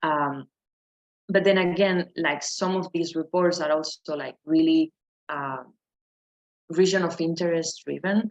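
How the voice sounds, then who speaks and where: Pausing long and often, a woman talks at a fairly slow pace and fairly low pitch with fairly even intonation. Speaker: neuroscience researcher. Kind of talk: lecture. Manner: halting.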